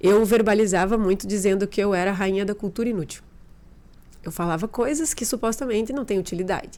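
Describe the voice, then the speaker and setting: A woman's dark, mellow voice at medium pitch and a fairly quick pace, in a southern Brazilian accent. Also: ordinary pitch variation. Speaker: behavioral therapist. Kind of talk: podcast interview testimony.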